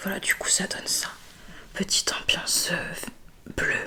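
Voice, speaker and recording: Noticeable background noise runs through the clip. A woman whispers, taking a fairly slow pace. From Bordeaux, France. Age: 20s. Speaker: ASMR creator. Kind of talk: ASMR skincare video. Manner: soft-spoken, relaxing.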